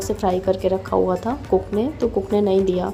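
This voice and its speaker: A woman talks at a moderate pace. There's music in the background. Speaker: vlogger. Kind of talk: vlog narration. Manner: casual.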